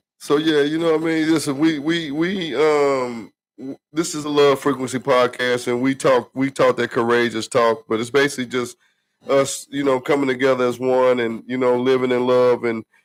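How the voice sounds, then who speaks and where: On a very clean recording with a silent background, a man talks at a moderate pace in a relaxed tone with fairly even intonation. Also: medium pitch for a man. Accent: Southern US. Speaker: podcast co-host. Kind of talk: casual chat. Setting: livestream podcast. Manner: relaxed, repetitive fillers.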